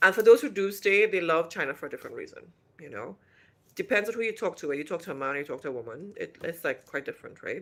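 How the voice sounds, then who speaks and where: A woman talks at a very fast pace. The recording is very clean, with a silent background. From Trinidad and Tobago. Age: 50s. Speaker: vlogger. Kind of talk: casual chat. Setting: livestream.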